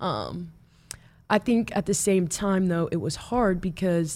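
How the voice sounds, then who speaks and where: Speaking fairly slowly, a woman has an unremarkable speaking voice, fairly low in pitch, with lively intonation. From Omaha, Nebraska, US Midwest. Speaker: college softball pitcher. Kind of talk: interview.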